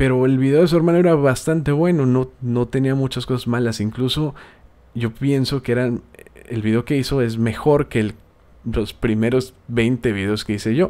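A man's medium-pitched voice with a dark, mellow tone, a South American accent, ordinary pitch variation and a moderate pace. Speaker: gaming youtuber and podcast host. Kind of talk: casual podcast monologue.

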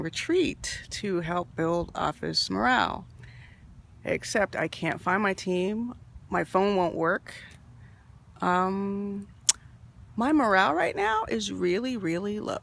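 A woman talks at a very slow pace with lively intonation. The sound is dry with no echo. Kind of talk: confessional selfie monologue. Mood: low, worried, confiding. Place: forest. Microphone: phone near.

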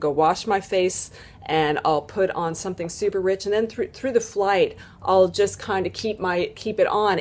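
A woman is talking. Her pace is moderate. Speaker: lifestyle vlogger. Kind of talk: casual vlog chat. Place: home room. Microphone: webcam.

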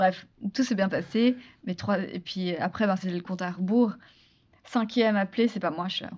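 A somewhat breathy voice at a moderate pace with long, frequent pauses. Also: woman, medium pitch for a woman, ordinary pitch variation. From Switzerland. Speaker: actress and former beauty queen; podcast guest. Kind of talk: interview. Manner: hesitant, many repetitions. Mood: animated, laughing at memories. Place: studio. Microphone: studio mic.

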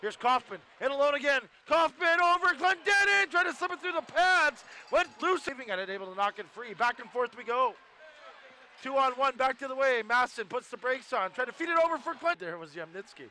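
A man's raised, projected voice at extremely high pitch and a fairly quick pace, with very wide pitch swings, big swings in loudness, and a dry, close sound with no echo. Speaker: hockey play-by-play announcer. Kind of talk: live sports commentary over game highlights. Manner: rapid-fire, clipped play-by-play calls; excitable on goals, energetic.

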